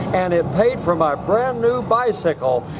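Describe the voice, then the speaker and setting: Noticeable noise is audible in the background. The voice comes with an American accent. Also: man. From US Midwest, Southwest Missouri. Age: 80s+. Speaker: retired entrepreneur. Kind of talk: storytelling. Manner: halting.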